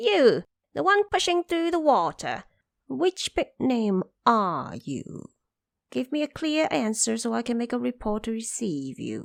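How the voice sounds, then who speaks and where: A woman performs a put-on character voice at a fairly slow pace and a fairly high pitch, on a very clean recording with a silent background. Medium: audio drama. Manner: gruff, officious.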